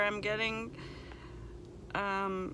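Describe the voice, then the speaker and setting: Audible room echo surrounds a woman speaking at a medium pitch in a bright, sharp tone. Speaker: vlogger. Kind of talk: casual vlog monologue. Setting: in a car.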